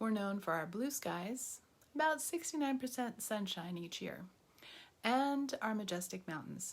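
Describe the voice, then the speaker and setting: In a General American accent, the speaker uses an upbeat, somewhat breathy tone at a fairly slow pace, with very wide pitch swings. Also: woman, fairly high pitch for a woman. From US, southern Colorado. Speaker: teacher. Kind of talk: course introduction video.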